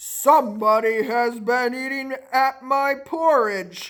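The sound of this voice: This man uses a put-on character voice pitched extremely high. He speaks at a very slow pace.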